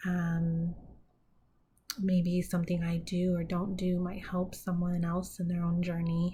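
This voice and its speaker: Very slowly and somewhat breathy, a woman speaks in a dark, mellow tone at a fairly low pitch with monotone, flat intonation and audible room echo. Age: 30s. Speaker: mental health vlogger. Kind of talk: personal vlog monologue. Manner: hesitant, many fillers.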